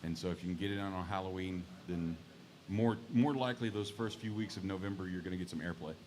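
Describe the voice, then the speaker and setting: A man's very deep, low voice with a Texas accent, a very fast pace and ordinary pitch variation. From Texas (Mesquite, near Dallas). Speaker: singer-songwriter. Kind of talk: casual chat.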